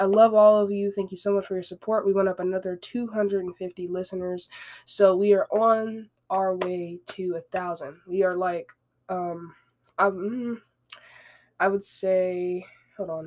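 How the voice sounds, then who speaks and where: A woman at medium pitch speaks at a fairly slow pace in a monotone, flat intonation. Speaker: podcast host. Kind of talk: casual solo podcast talk. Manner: conversational, rambling, with filler words.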